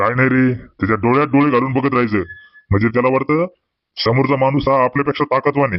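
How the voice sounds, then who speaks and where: A man performs a gruff, put-on character voice at a medium pitch. His pace is fairly quick. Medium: cartoon. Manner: boastful, gruff.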